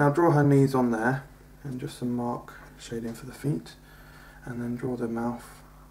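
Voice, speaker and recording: A man speaks at a moderate pace in a medium pitch with fairly even intonation, leaving long, frequent pauses. His loudness swings widely over noticeable background noise. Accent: English. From England. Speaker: comedian. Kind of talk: comedic drawing tutorial sketch. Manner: hesitant, many fillers.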